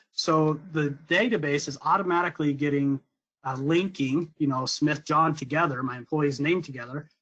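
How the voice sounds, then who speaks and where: At a moderate pace, a man with an ordinary speaking voice talks with a fairly high pitch and fairly even intonation. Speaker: software sales director presenting a demo. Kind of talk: webinar product demo. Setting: online webinar.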